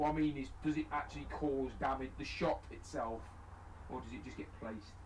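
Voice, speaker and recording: Big swings in loudness mark a man's fairly quick speech, heard with audible room echo. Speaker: tabletop wargaming streamer. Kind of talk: casual chat during live game stream. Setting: live stream.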